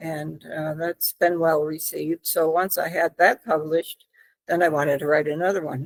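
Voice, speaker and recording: A woman with a fairly low pitch talks at a moderate pace in a flat, monotone intonation, her sound dry and close with no echo. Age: 70s. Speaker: author. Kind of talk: interview. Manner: halting.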